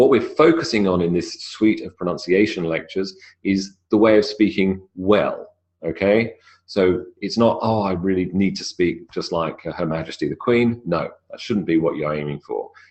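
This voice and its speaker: A man with a British accent, at a moderate pace. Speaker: English pronunciation teacher. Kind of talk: lecture.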